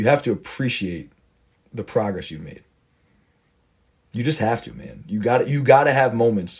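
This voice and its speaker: With lively intonation and a somewhat breathy, fairly low voice, a man speaks at a fairly quick pace. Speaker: football coach. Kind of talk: casual monologue. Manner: fast; animated.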